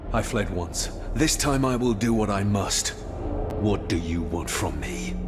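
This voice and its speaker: Amid loud background noise, a man uses a put-on character voice at a fairly low pitch and a moderate pace. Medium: machinima.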